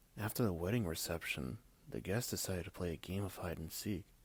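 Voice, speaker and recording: Ordinary pitch variation marks the speech of a man. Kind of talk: ASMR scary story reading.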